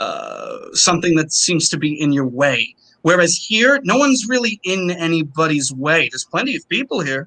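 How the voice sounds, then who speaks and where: A high-pitched man with a New York accent, at a fairly quick pace with hardly any pauses and very wide pitch swings. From Long Island, New York. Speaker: opera singer. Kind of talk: interview conversation.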